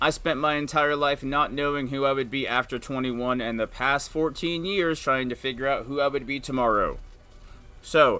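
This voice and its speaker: A man speaks loud at a moderate pace. His pitch is fairly high, with ordinary variation. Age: 30s. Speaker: stay-at-home dad and video host. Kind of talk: personal monologue. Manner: animated.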